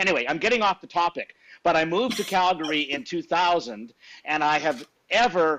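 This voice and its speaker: Bright and sharp in tone, this voice moves at a fairly quick pace with lively intonation and a Canadian accent. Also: man, high pitch for a man. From Saskatchewan, Canada. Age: 60s. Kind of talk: casual interview chat.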